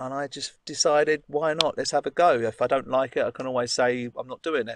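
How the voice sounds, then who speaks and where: Set against noticeable background noise, the voice moves at a moderate pace with fairly even intonation and a dry sound that has no echo. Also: man. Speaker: guest. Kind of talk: interview answer. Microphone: video call.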